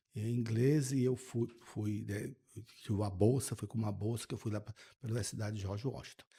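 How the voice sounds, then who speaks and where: A man speaks at a fairly quick pace with a medium-pitched, dark, mellow tone that is somewhat breathy, his intonation fairly even. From Brazil, interior of Minas Gerais. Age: 60s. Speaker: state finance secretary. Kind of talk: podcast interview. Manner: halting, repeats words.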